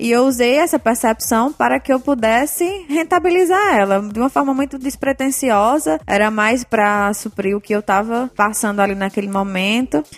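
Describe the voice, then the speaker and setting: Over noticeable background noise, a woman speaks at a moderate pace and fairly high pitch with lively intonation and very even loudness. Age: 20s. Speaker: education entrepreneur, tutoring business owner. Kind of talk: interview.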